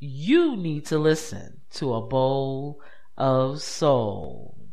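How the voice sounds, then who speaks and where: A man is speaking. His pace is very slow. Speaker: radio host. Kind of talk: radio DJ patter. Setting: studio. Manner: relaxed, warm, informative.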